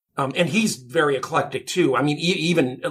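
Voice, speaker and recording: Speaking at a moderate pace, a man with an American accent sounds somewhat breathy. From US. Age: 60s. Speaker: film composer. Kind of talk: interview.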